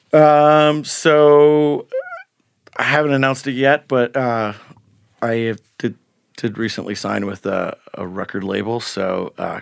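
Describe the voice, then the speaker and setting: With an American accent, a man speaks at medium pitch and ordinary pitch variation in a dry, close sound with no echo. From northern Michigan (Rose City). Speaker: singer-songwriter. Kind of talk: casual interview. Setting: studio. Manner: halting, many fillers.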